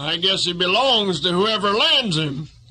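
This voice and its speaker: A man puts on a character voice with a high pitch. His pace is moderate. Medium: read story.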